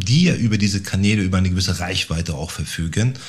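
A man with a fairly low pitch and a somewhat breathy voice talks with ordinary pitch variation. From Bielefeld, Germany. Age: 40s. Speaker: agency founder. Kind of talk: casual interview. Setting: studio.

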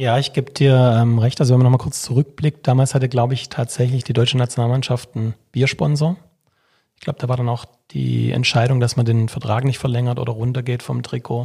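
A man's fairly quick, flat monotone at a medium pitch. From Württemberg, Swabia (Vaihingen/Enz area). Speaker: sports official, former sports journalist. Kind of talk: casual chat.

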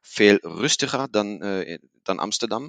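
A man speaks at a very slow pace in a fairly low pitch with ordinary pitch variation. The sound is dry and close, with no echo. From Germany, Paderborn. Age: 30s. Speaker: business manager and Netherlands enthusiast. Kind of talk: casual interview chat. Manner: hesitant with many fillers.

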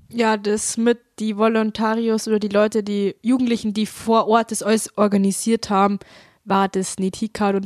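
A woman speaks at a moderate pace in a monotone, flat intonation. The sound is dry and close, with no echo. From Upper Bavaria, Traunstein district. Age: young, 18. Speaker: mechatronics apprentice, rural youth volunteer. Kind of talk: casual interview.

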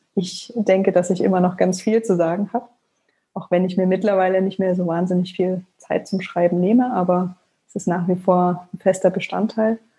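The voice is somewhat breathy with a dark, mellow tone. It moves at a moderate pace with monotone, flat intonation. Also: woman, medium pitch for a woman. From Leipzig, eastern Germany. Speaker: blogger and author. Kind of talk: interview.

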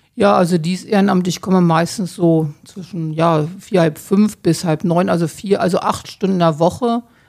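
A woman with an ordinary speaking voice talks in a fairly low pitch with hardly any pauses. Her intonation is fairly even. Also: moderate pace. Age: 60s. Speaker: hospice volunteer. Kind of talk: interview. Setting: hospice room.

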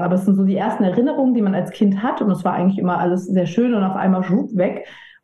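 A woman at medium pitch speaks with fairly even intonation in a somewhat breathy voice, with audible room echo. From mixed: Italy, Papua New Guinea, US, China, Germany. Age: 30s. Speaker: edtech founder and managing director. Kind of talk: casual interview.

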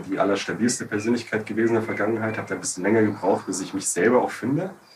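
A very fast pace over noticeable background noise. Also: man. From Bavaria, Munich. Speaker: podcast co-host. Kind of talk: casual discussion.

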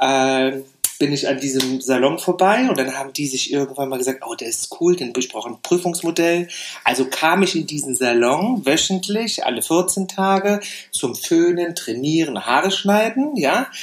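A man talks with lively intonation at a fairly high pitch. There is noticeable background noise. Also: moderate pace. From Saarland, Germany. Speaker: hairdresser and educator. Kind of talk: interview.

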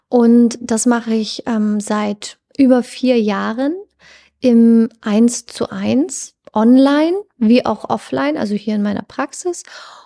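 With a dark, mellow tone, the voice moves at a very slow pace with ordinary pitch variation in a dry, close sound with no echo. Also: woman, fairly high pitch for a woman. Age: 30s. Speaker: psychologist and hypnotherapist. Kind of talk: casual interview.

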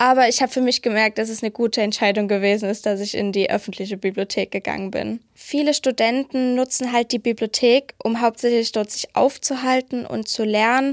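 A woman's unremarkable speaking voice, fairly high in pitch, at a fairly quick pace with hardly any pauses and fairly even intonation, in a dry, close sound with no echo. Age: 20s. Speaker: library apprentice. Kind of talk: interview.

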